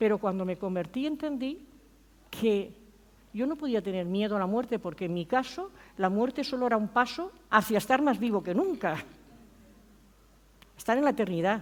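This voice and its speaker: Speaking at a moderate pace with long, frequent pauses, a woman uses a fairly high pitch and lively intonation. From Spain. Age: 60s. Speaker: pastor. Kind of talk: sermon.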